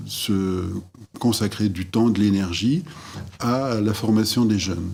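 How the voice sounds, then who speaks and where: Very slow speech from a man, fairly low in pitch, with ordinary pitch variation. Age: 60s. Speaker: former school headmaster. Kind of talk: interview testimony. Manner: halting, many hesitations.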